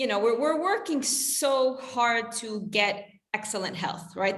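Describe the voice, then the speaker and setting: Ordinary pitch variation from a woman, with audible room echo. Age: 40s. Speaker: health coach. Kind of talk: casual chat.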